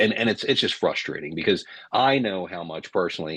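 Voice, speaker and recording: Against a quiet background with a dry, close sound and no echo, a man with an American accent speaks at a very deep, low pitch with ordinary pitch variation. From US East Coast. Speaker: business coach. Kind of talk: webinar discussion. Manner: loud; animated.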